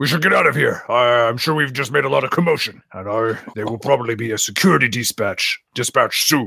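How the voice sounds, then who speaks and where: A man does a put-on character voice at medium pitch, talking at a fairly quick pace. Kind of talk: in-character roleplay. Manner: uncertain, polite, mild.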